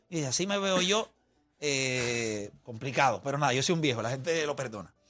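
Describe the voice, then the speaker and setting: With music playing in the background, a speaker in a Puerto Rican accent talks at a moderate pace with lively intonation. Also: man. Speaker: sports radio host. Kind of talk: heated sports debate. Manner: loud, mocking, animated.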